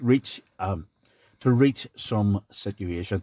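A man with a Belfast accent speaks at a very slow pace, his fairly low pitch showing ordinary variation and a dark, mellow tone, in a dry, close sound with no echo on a very clean recording with a silent background. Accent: Belfast Northern Irish. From Northern Ireland, east Belfast. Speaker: former party leader and playwright. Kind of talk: podcast interview. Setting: studio. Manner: halting, repeats words.

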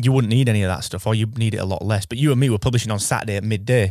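Against a quiet background, a man talks in an ordinary speaking voice, his fairly low pitch showing ordinary pitch variation. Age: 30s. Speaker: podcast host. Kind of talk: casual chat.

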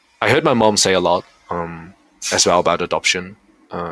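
The man's pitch is very deep and low, his tone bright and sharp. He speaks at a fairly quick pace, the sound dry and close with no echo. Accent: Dutch. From Netherlands, partly raised in Korea. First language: Dutch. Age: 20s. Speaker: university student and researcher. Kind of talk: interview. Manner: halting, with frequent repetitions and fillers.

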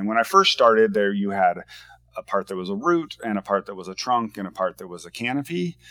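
A man with an American accent speaks at a fairly quick pace in a fairly low voice with a bright, sharp tone and lively intonation, his loudness swinging widely. The recording is very clean with a silent background, and the sound is dry and close with no echo. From US Pacific Northwest, Washington State. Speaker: board game designer. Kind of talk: casual interview.

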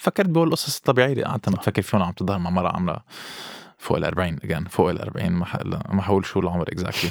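A man with a very deep, low voice talks at a very fast pace in a dry, close sound with no echo. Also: ordinary pitch variation. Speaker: podcast guest. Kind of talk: casual chat. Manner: code-switching English and Arabic.

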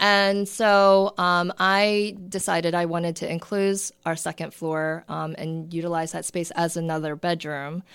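In a normal speaking voice, a woman with an American accent speaks at a fairly slow pace and fairly low pitch with fairly even intonation, on a very clean recording with a silent background. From Maryland, Towson/Parkville area. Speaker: realtor. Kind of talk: casual interview chat.

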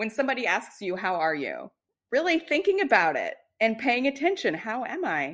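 Her pitch fairly high and swinging very widely, a woman speaks with vocal fry. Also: moderate pace, very clean recording, silent background. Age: 30s. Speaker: self-care coach. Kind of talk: casual chat.

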